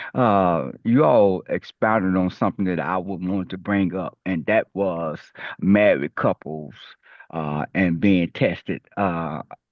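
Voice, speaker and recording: A man with a very deep, low pitch speaks very slowly in a Memphis accent. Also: ordinary pitch variation. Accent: Southern US (Memphis). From US South. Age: 60s. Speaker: HIV community advocate. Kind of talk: panel discussion.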